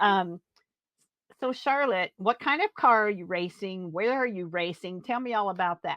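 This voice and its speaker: A woman talks at a moderate pace in an unremarkable speaking voice. Her pitch is medium, with ordinary variation. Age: 60s. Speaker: podcast host. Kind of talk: podcast interview.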